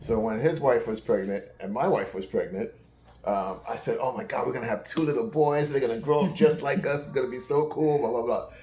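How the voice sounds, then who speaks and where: Speaking fairly quickly with an American accent, a man is heard over noticeable background noise, with audible room echo. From New York City. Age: 60s. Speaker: uncle of the channel owner. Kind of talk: casual chat.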